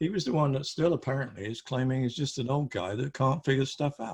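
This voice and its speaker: Somewhat breathy, a man rattles along at a very fast pace in a medium pitch. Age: 70s. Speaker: photography group presenter. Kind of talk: group discussion. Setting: video call. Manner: animated.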